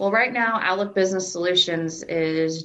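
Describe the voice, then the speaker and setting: A woman with an American accent and an unremarkable speaking voice talks at a fairly slow pace and medium pitch. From US Midwest (southwest Iowa). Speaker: employee of a blindness services organization, blind since birth. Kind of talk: interview.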